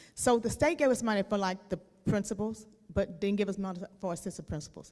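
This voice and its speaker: The woman talks at a fairly quick pace. Her pitch varies in an ordinary way. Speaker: school district finance official. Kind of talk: board meeting presentation. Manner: fast; loud.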